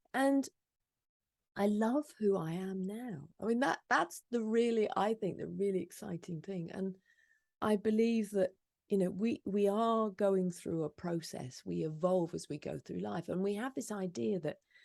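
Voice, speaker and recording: At a fairly slow pace, a woman with a normal speaking voice talks at medium pitch with lively intonation. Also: dry, close sound with no echo. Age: 50s. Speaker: author and podcaster. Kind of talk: interview.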